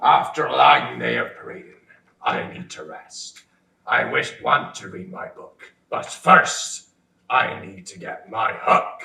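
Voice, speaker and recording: A man uses a put-on character voice at a fairly slow pace. A slight echo surrounds it. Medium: stage play. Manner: pompous, boastful.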